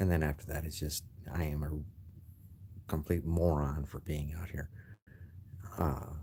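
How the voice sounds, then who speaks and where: A man speaks in a very deep, low pitch with a dark, mellow tone, somewhat breathy and in a monotone, flat intonation. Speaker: gamer vlogger. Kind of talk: casual vlog. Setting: library. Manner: quieter than normal.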